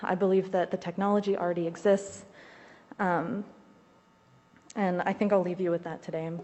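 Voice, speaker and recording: A woman with an American accent speaks with monotone, flat intonation. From Ohio, Zanesville. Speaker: community organizer and state rep candidate. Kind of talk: legislative testimony. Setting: committee hearing room, wearing a mask. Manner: formal.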